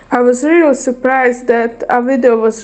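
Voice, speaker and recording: In a Croatian accent, a woman with a high pitch talks at a fairly slow pace. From Bosnia and Herzegovina. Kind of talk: testimony read aloud from notes. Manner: halting.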